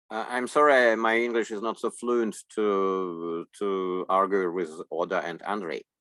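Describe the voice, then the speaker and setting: Speaking at a fairly slow pace with hardly any pauses, a man with a Russian accent has a fairly low pitch and a bright, sharp tone. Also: ordinary pitch variation. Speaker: interpreter. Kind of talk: consecutive interpreting. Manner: halting.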